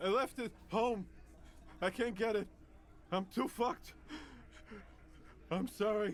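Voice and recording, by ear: A man puts on a strained, wheezy character voice pitched high for a man, talking at a fairly slow pace with ordinary pitch variation, long and frequent pauses, and clear background noise.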